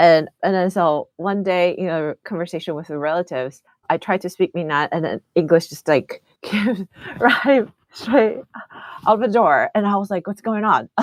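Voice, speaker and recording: In a Mandarin accent, a woman talks at a moderate pace and medium pitch with lively intonation, the sound dry and close with no echo. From Taiwan. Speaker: think tank regional director, podcast host. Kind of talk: casual chat.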